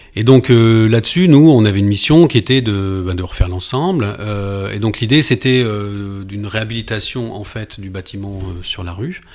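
A man with a fairly low pitch speaks at a moderate pace, his pitch varying in an ordinary way while his loudness swings widely. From southern France, near Nice. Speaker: architect. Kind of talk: interview. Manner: halting.

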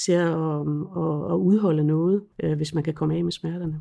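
A woman speaks in a dark, mellow tone at a moderate pace with fairly even intonation. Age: 50s. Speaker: chronic pain patient. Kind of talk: personal testimony interview. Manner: hesitant, many fillers.

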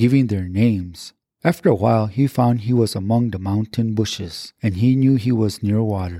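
A man with an American accent, medium in pitch, with a dark, mellow tone, ordinary pitch variation and a moderate pace, in a dry, close sound with no echo on a very clean recording with a silent background. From Pueblo homelands, US Southwest. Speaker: podcast host and storyteller. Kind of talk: elder-style storytelling, retelling Coyote tales in a measured narrative. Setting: studio.

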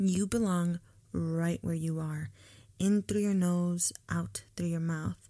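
Somewhat breathy and fairly low-pitched, a woman talks at a fairly slow pace with lively intonation. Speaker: podcast host, student housing professional. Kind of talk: guided breathing meditation, calm and soothing, then casual chat. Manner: slow, soft, rhythmic and coaxing during breathing exercise; animated, candid, conversational, upbeat.

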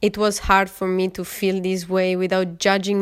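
In an Italian accent, a woman speaks at medium pitch and a moderate pace on a very clean recording with a silent background. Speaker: podcast host, yoga and art teacher. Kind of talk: personal narration.

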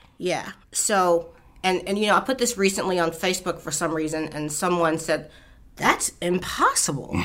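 Noticeable background noise behind a woman's fairly low-pitched voice. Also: ordinary pitch variation, moderate pace. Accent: American. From Baltimore, Maryland. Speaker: state senator. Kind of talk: interview.

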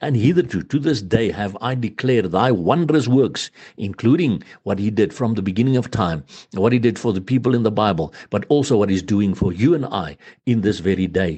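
A man with a normal speaking voice and fairly low pitch talks at a fairly quick pace with lively intonation. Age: 60s. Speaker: preacher. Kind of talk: sermon.

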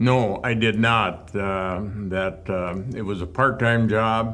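With audible room echo around him, a man at a medium pitch speaks with fairly even intonation. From southwestern Minnesota, rural. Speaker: retired hospital executive. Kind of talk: interview reminiscence.

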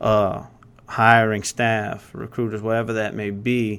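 In a very clean recording with a silent background, a man with a Louisiana accent speaks at a fairly low pitch in a flat monotone. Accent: Cajun Louisiana. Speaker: insurance agency leader. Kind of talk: casual interview.

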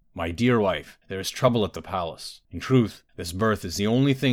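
Speech comes in an unforced reading voice with ordinary pitch variation.

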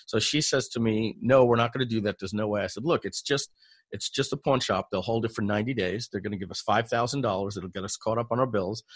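Somewhat breathy and at a medium pitch, a man talks at a very fast pace with fairly even intonation, in a dry, close sound with no echo and a quiet background. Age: 50s. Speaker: online entrepreneur, software company founder. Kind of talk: interview. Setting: call.

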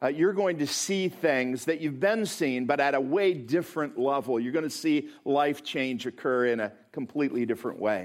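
Speaking with an American accent, a man has a fairly high pitch and lively intonation. He keeps a moderate pace with hardly any pauses. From US Midwest. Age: 50s. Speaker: pastor. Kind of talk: sermon. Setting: church.

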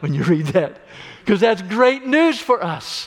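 With an American accent, a man speaks in an animated tone, his pitch swinging very widely. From US Midwest, Illinois. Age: 60s. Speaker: pastor. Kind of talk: sermon.

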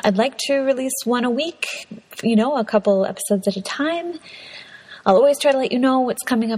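A woman's animated voice with ordinary pitch variation over noticeable background noise. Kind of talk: casual monologue. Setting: home recording in a closet.

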